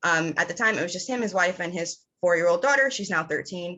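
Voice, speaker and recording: Using a normal speaking voice with an American accent, a woman speaks at a fairly quick pace with a medium pitch and lively intonation. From New York City, the Bronx. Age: 30s. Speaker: campaign volunteer. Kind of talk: personal testimony.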